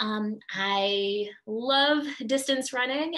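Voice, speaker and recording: A woman speaks with a bright, sharp tone and lively intonation. The background is quiet. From Vermont. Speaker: teacher. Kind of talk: recorded video introduction. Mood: warm, cheerful. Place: home room. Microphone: webcam.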